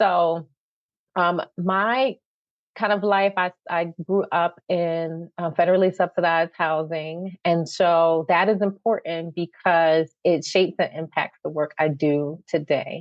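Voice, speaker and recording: A woman with a Philadelphia accent, fairly low in pitch, fairly slow, with very even loudness and fairly even intonation. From Philadelphia, North Philly. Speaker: nonprofit CEO. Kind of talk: podcast interview. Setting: podcast.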